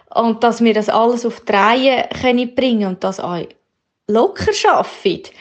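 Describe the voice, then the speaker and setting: With lively intonation, a woman speaks at a fairly high pitch and a fairly slow pace. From Switzerland. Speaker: coaching participant, manager and mother. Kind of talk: voice message. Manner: halting.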